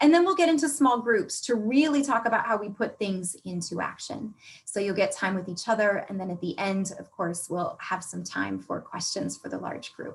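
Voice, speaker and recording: A woman's medium-pitched voice with vocal fry, very wide pitch swings, big swings in loudness, a moderate pace and hardly any pauses. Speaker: workshop facilitator. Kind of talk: online workshop presentation. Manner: animated.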